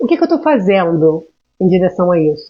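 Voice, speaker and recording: A woman speaks with very wide swings in pitch. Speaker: emotional intelligence mentor. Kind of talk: live stream talk. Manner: animated.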